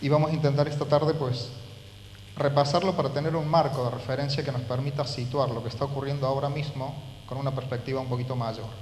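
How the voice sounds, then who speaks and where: With audible room echo, a man speaks at a very fast pace with a fairly high pitch and monotone, flat intonation. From Argentina, Córdoba. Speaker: university professor. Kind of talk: lecture.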